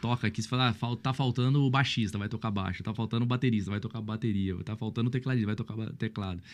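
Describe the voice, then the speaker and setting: Very fast and animated, a man at a medium pitch speaks with hardly any pauses. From Brazil, São Paulo state (Mogi). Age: 30s. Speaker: pastor. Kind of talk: podcast interview, casual chat.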